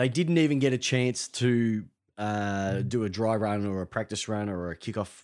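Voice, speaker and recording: Recorded very cleanly against a silent background, the voice has an Australian accent and ordinary pitch variation. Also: man. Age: 40s. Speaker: sports podcast host. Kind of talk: casual chat.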